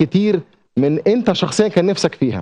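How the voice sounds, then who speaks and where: At a moderate pace, a man talks with ordinary pitch variation over a quiet background. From Egypt. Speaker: TV presenter and journalist; TV presenter, journalist. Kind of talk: TV segment monologue. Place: studio. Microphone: lapel.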